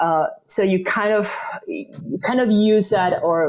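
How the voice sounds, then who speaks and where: A woman with a Spanish accent and ordinary pitch variation, amid noticeable background noise. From Spain. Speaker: yoga teacher. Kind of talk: podcast interview.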